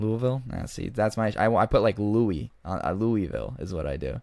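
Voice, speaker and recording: He has a plain, everyday voice, fairly low in pitch, with lively intonation at a moderate pace. The recording is very clean, with a silent background. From Oregon. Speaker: podcast host. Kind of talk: casual chat.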